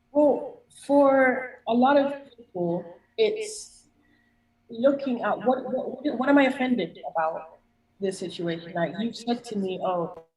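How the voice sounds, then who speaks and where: The voice is somewhat breathy and moves at a fairly slow pace. Its pitch swings very widely. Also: woman. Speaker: life coach. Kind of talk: presentation and Q&A. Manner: calm, measured.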